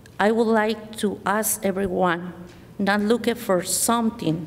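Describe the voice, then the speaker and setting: Over noticeable background noise, someone with a Spanish accent talks at a fairly slow pace with fairly even intonation. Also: woman. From Mexico. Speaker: library board candidate. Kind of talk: candidate speech at public forum. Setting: school forum with audience. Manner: halting.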